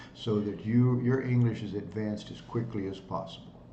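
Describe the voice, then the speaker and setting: Speaking at a moderate pace, a man has a medium pitch, a somewhat breathy quality and a dark, mellow tone. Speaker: English tutor. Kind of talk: casual talk to camera.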